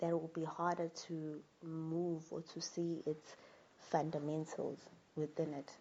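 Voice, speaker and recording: In a very slow, monotone voice with flat intonation, a woman speaks at a fairly low pitch. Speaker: spiritual talk channel host. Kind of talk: spiritual monologue talk. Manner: halting, with fillers and repetitions.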